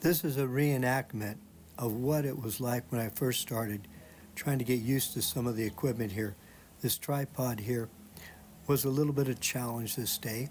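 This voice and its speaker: This man's voice sits at a medium pitch and is somewhat breathy. He talks at a moderate pace. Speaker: retired expat YouTuber. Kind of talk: casual talk to camera.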